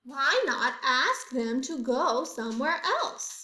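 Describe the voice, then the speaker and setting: Fairly slow delivery in a high-pitched, put-on character voice from a woman. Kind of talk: picture book read-aloud. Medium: read story. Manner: cheerful, bright.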